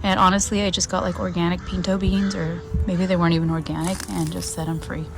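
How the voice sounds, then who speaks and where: A soft-spoken woman talks at a fairly quick pace, with noticeable background noise and audible room echo. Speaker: gardening vlogger. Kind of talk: casual vlog walkthrough. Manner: hesitant.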